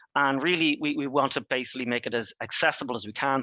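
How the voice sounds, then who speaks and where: Very fast speech in an Irish accent. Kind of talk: webinar presentation. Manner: halting, many fillers and restarts.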